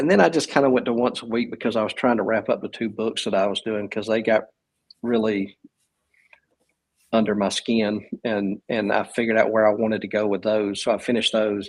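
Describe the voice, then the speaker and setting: A man with a Southern US accent talks at a fairly low pitch with fairly even intonation. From US South, South Georgia. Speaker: writer and podcaster, military veteran. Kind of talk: casual interview conversation. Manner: halting, many fillers and restarts.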